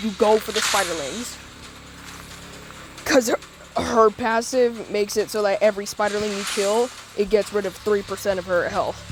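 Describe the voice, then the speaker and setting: A woman speaks at a medium pitch and moderate pace with fairly even intonation, with noticeable background noise. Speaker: gaming YouTuber. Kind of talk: gameplay tutorial. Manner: casual, informal.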